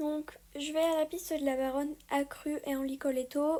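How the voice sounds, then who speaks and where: A woman speaks in a high voice with a dark, mellow tone. Her pace is moderate and her intonation fairly even. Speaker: horse rider vlogger. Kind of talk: casual vlog talk. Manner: hesitant, many fillers.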